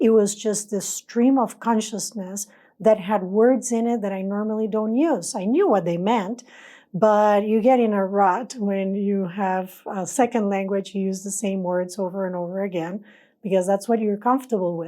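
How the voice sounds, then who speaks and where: Her tone is dark and mellow, at a moderate pace with fairly even intonation. The recording is very clean, with a silent background. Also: medium pitch for a woman. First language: not English. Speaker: spiritual channeler. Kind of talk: personal testimony.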